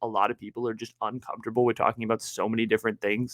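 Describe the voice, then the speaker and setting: The tone is animated, and the sound is dry and close with no echo. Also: man. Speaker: podcast host. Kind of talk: casual solo podcast talk. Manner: loud.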